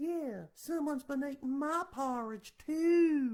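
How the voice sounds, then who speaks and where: The woman talks at a fairly slow pace. Her put-on character voice is pitched high. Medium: solo performance.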